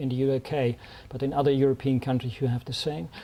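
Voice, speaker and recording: Here a man speaks with a Dutch accent. His pitch is fairly high. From Netherlands. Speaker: diplomat. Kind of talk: speech. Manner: halting.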